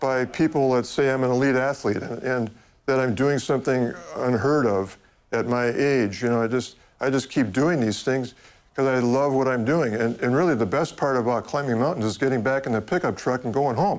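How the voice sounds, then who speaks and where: Here a man uses a normal speaking voice at a medium pitch, with ordinary pitch variation, very even loudness and a moderate pace. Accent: American. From United States. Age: 60s. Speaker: mountain climber. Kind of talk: interview.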